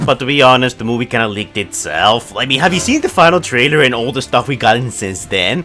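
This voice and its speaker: A man is speaking. Music plays in the background. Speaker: toy and movie news YouTuber. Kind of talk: casual talk to camera.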